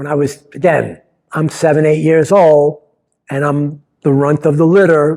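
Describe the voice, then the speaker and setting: This man has a plain, everyday voice with a fairly high pitch and an American accent, speaking at a fairly slow pace with fairly even intonation. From New York. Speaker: playwright. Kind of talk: personal storytelling. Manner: casual, conversational.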